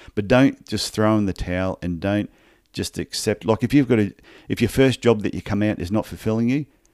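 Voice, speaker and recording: With an Australian accent, a man speaks at a moderate pace in a fairly low pitch with ordinary variation. The recording is very clean, with a silent background. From Australia (Brisbane, Queensland). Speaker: podiatrist and business coach. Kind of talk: interview.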